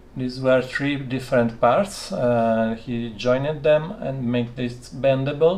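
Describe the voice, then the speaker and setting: A man with a non-native accent speaks using ordinary pitch variation. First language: not English. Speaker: electronics maker live-streaming his workshop. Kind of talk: live stream workshop chat. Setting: home laboratory. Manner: halting, many fillers.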